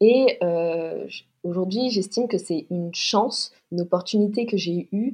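A woman talks at a medium pitch with ordinary variation in her pitch. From Paris, France. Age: 20s. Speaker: fashion designer and leather goods entrepreneur. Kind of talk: podcast interview. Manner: hesitant, many fillers and repetitions.

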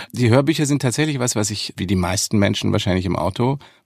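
A man with a slight Bavarian accent, in a very clean recording with a silent background. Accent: faint Bavarian. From Munich, Bavaria. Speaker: actor and voice actor. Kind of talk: interview.

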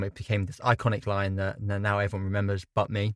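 A man with a southern English accent and a fairly low pitch is heard on a very clean recording with a silent background and a dry, close sound with no echo. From England. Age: young. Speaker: film director. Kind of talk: casual chat. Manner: mumbling.

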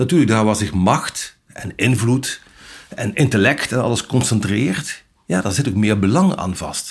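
A man uses an ordinary speaking voice at a moderate pace. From Brabant, Netherlands. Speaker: journalist. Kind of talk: interview.

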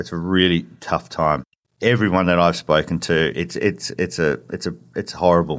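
This man has a very deep, low pitch with vocal fry and ordinary pitch variation. He keeps a moderate pace on a very clean recording with a silent background. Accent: Australian. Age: 40s. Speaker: dad running a divorced-dads website. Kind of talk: interview. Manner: halting.

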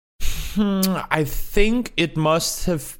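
A man speaks with a non-native accent. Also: very clean recording, silent background. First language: not English. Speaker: esports commentator. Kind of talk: interview.

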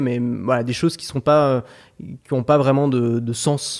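A man talks at a fairly quick pace and a fairly high pitch in a normal speaking voice. The recording is very clean, with a silent background. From France, Paris. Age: 20s. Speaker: online course entrepreneur. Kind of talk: interview.

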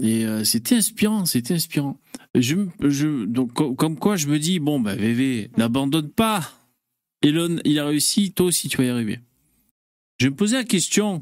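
At a fairly slow pace, a man with a fairly high pitch takes long, frequent pauses while his pitch swings very widely. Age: 40s. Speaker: live stream host. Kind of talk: casual chat. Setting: live stream.

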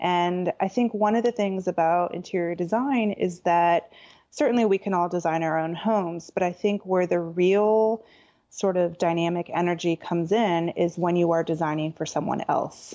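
In a normal speaking voice, a woman talks at a moderate pace with a fairly low pitch, fairly even intonation and very even loudness. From Southern California. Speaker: interior designer. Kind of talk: interview conversation.

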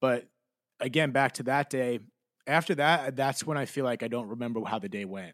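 A man with an American accent talks at a moderate pace and a medium pitch. It is an ordinary speaking voice with ordinary pitch variation. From New Jersey. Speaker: podcast host. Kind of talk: interview guest, personal testimony.

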